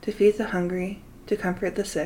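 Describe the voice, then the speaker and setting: With an American accent, the speaker keeps a moderate pace and fairly even intonation. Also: woman. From Utah, US. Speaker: podcast host, spiritual guide. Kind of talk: scripted monologue.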